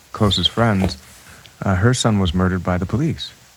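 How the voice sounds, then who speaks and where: Noticeable background noise sits under this man's voice. He speaks fairly low in pitch at a moderate pace. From Toronto, Canada. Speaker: musician. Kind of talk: casual chat.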